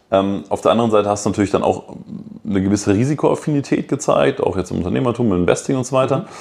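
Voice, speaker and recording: Speaking very fast at a medium pitch, a man uses lively intonation. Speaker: podcast host. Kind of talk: casual interview; podcast intro monologue.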